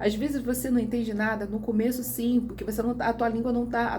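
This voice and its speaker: A woman's voice with audible room echo. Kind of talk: casual vlog monologue. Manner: halting.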